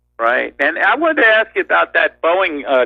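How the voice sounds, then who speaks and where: A man with a New York accent at a moderate pace. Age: 50s. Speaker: caller. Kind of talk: call-in talk show.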